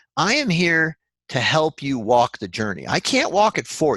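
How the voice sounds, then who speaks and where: A man talks at a moderate pace with a fairly high pitch and vocal fry. The sound is dry and close with no echo, the background quiet. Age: 60s. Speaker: functional medicine doctor. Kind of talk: webinar presentation. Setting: online webinar.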